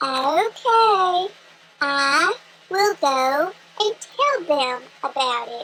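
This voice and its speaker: A woman does a squeaky put-on character voice at an extremely high pitch. She goes at a very slow pace with long, frequent pauses. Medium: read story. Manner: earnest, formal.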